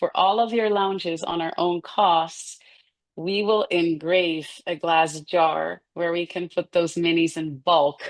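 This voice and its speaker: A woman speaks in a Dutch accent at a fairly low pitch. Her intonation is fairly even and her pace fairly slow. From Netherlands. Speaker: food company founder. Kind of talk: casual interview.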